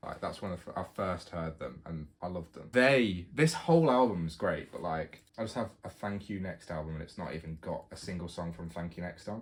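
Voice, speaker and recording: A man with a British accent, very deep and low in pitch, at a moderate pace with hardly any pauses and ordinary pitch variation. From United Kingdom. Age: 20s. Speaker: university student. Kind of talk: casual talk to camera.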